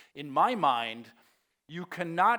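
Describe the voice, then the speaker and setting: A man's very slow speech with a bright, sharp tone in a very clean recording with a silent background. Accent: Danish. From Denmark. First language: Danish. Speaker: conference keynote speaker. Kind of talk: keynote presentation. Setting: stage with audience.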